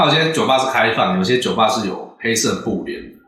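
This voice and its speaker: Audible room echo surrounds speech at a moderate pace. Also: man. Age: middle-aged. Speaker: podcast host. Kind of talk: casual chat.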